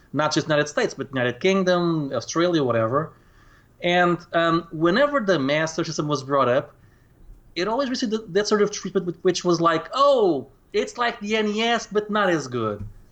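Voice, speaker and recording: Against a quiet background, a high-pitched man with a Portuguese accent talks at a moderate pace, his pitch swinging very widely. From Portugal. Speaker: retro gaming YouTuber. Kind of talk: casual conversation interview. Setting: Skype call.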